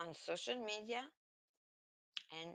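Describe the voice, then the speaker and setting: A woman is speaking. Her pace is very slow. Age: 50s. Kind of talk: emotional rant to camera.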